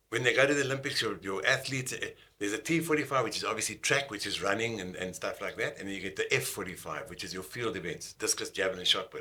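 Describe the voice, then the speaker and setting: Speaking at a very fast pace, a man leaves hardly any pauses. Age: 60s. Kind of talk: radio interview. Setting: radio studio.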